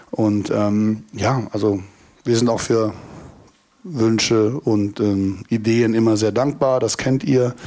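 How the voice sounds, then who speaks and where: A dark, mellow tone moves at a very slow pace, with very even loudness and fairly even intonation. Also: man, medium pitch for a man. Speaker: festival promoter. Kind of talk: live panel talk. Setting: stage with audience at a festival.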